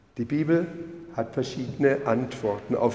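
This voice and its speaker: Noticeable background noise is present. Over it, a man speaks at a fairly high pitch. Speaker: lay preacher. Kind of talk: sermon in church, measured, with a read-aloud story excerpt. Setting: church. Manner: formal, measured, earnest pulpit delivery.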